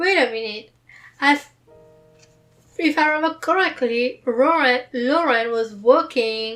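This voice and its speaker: Over music in the background, a woman speaks very slowly at a high pitch with ordinary pitch variation. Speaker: book reader. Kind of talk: book reading with commentary.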